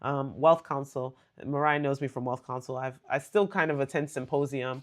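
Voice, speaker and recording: With an American accent, a woman speaks in a very deep, low voice. Her tone is animated, and the background is quiet. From US, Nigerian American family. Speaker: lawyer and livestream host. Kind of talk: live stream chat with viewers. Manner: fast talker.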